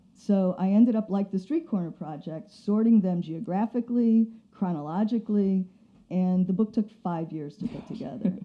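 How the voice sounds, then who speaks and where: A plain, everyday voice from a woman at medium pitch, with ordinary pitch variation and a moderate pace. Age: 60s. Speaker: photography professor and author. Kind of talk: casual interview chat.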